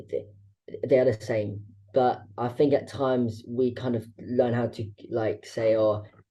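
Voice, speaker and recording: A somewhat breathy man at medium pitch with a dark, mellow tone, speaking at a moderate pace. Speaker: podcast host. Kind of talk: podcast interview. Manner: halting, repeated syllables.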